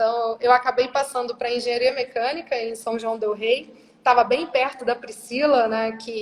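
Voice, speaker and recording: Her voice high, a woman speaks with a strong Minas Gerais accent at a moderate pace in monotone, flat intonation. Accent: strong Minas Gerais (mineiro). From Brazil, Rondônia then Minas Gerais. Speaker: corporate operations director. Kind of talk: interview. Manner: casual, conversational.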